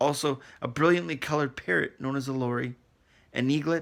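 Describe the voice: Someone reads aloud plainly, the pitch rising and falling in an ordinary way.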